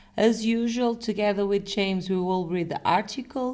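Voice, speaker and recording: A woman speaks with a European Portuguese accent. Her pitch variation is ordinary. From Portugal. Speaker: language teacher. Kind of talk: language lesson; reading aloud.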